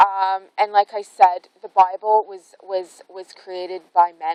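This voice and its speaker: A woman speaks at a medium pitch. The sound is dry and close, with no echo. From Canada. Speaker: spiritual vlogger. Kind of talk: casual vlog monologue. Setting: outdoors in a forest. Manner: rambling, hesitant with fillers.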